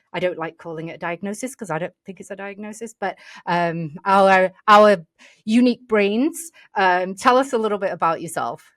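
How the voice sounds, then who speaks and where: In an English accent, a woman speaks at a moderate pace with a medium pitch and lively intonation. Her loudness swings widely, and the sound is dry and close with no echo. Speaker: podcast host. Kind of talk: casual interview. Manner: animated.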